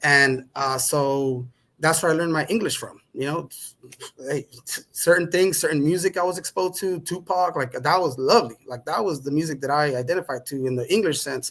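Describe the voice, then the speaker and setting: This man speaks at a fairly quick pace with a Spanish accent. His pitch is fairly high. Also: ordinary pitch variation. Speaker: podcast guest. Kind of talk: conversational interview.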